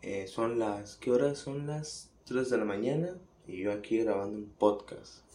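Through audible room echo, a dark, mellow voice talks at a fairly slow pace with lively intonation. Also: man, medium pitch for a man. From Mexico, Ciudad Juárez. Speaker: podcaster. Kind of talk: casual monologue.

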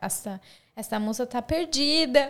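A woman's high-pitched voice rises above noticeable background noise. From Brazil, Santa Catarina. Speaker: YouTuber. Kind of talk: casual chat.

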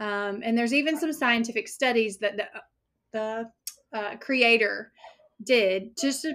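A woman with an unremarkable speaking voice, fairly high in pitch with ordinary variation, at a fairly slow pace, on a very clean recording with a silent background. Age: 30s. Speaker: weight loss coach. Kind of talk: interview.

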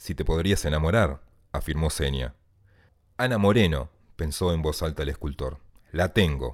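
A man's voice with vocal fry. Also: very clean recording, silent background. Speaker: writer. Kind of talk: reading aloud.

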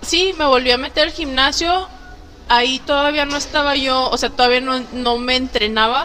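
Over noticeable background noise, a woman speaks at a moderate pace in a raised, projected voice, high-pitched and animated, with ordinary pitch variation. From Torreón, Mexico. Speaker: fitness coach. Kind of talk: casual chat.

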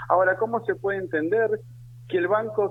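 This man speaks at a high pitch with very wide pitch swings. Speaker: trade union leader. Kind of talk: radio interview. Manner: animated.

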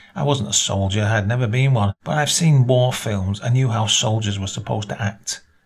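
An unforced voice reads with pitch that varies in an ordinary way.

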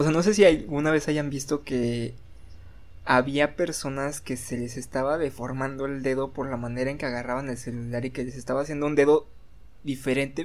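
This man's voice sits at a fairly high pitch. The intonation is fairly even. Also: fairly quick pace. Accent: Mexican. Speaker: podcast co-host. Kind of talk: casual chat.

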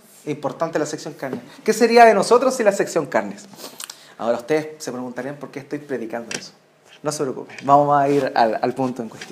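Noticeable background noise surrounds a man who speaks at a fairly quick pace. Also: fairly high pitch for a man, lively intonation, big swings in loudness. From Chile. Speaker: pastor. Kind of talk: sermon.

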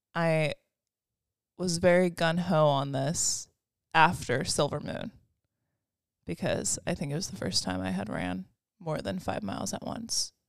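A woman speaks with a very deep, low pitch and very wide pitch swings, using vocal fry at a fairly slow pace with long, frequent pauses. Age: 20s. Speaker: podcast co-host. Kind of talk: casual chat.

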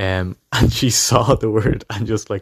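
Fairly low male voice in a Dublin accent, with fairly even intonation and a dry, close sound with no echo. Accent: Dublin Irish. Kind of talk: anecdote.

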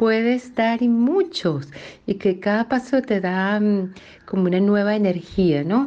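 A woman speaks very slowly in a dark, mellow tone at a medium pitch. The background is quiet. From Venezuela, Río Caribe (Sucre). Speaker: cook. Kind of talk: recorded personal testimony. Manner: reflective, slightly hesitant.

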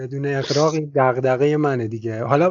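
Medium in pitch with fairly even intonation, a man talks in a plain, everyday voice. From Iran. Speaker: travel podcast host. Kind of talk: interview conversation. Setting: Skype call.

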